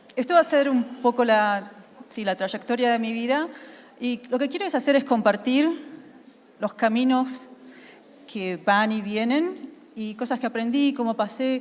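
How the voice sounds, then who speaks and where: A woman with an Argentine accent, high-pitched, at a fairly slow pace with long, frequent pauses. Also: ordinary pitch variation. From Argentina. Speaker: UX consultant, conference speaker. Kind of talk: conference talk. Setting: stage with audience.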